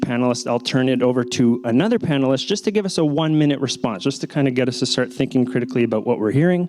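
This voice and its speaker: A man at medium pitch, very fast, with ordinary pitch variation and noticeable background noise. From Latin America. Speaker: panel moderator. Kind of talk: panel moderation.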